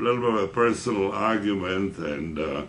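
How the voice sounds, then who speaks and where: The room's echo is audible as a man talks with lively, varied intonation. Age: 80s+. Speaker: veteran insurance salesman. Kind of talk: interview.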